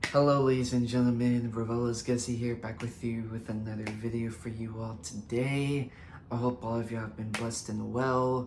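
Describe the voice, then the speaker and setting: With music playing in the background, the speaker talks at a moderate pace. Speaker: YouTuber sharing thoughts. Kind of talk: casual monologue vlog. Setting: home recording, daytime. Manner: hesitant, many fillers.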